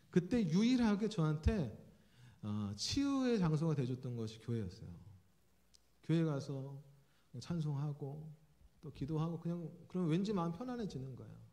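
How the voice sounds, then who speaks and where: With a dark, mellow tone and a fairly high pitch, a man speaks at a moderate pace, his voice making very wide pitch swings in audible room echo. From South Korea, Jeolla region. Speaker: pastor, preaching professor. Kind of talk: sermon. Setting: church. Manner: conversational, with frequent fillers.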